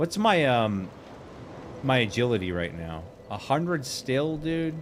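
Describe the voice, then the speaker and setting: A man speaks at a fairly slow pace, his pitch swinging very widely. Audible room echo surrounds his voice. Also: medium pitch for a man. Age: 40s. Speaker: gaming streamer. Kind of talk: casual live stream chat while gaming. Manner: casual, filler-heavy.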